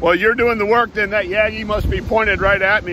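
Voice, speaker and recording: There is noticeable background noise behind a man's voice, and the sound is dry with no echo. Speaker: amateur radio operator. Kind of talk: radio contact chat. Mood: friendly, pleased. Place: beach. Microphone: phone near.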